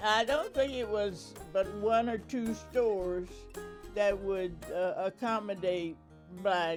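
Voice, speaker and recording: A woman with an American accent speaks at a fairly slow pace while music plays in the background. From rural Delaware, USA. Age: 80s+. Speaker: oral history interviewee. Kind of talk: interview answer.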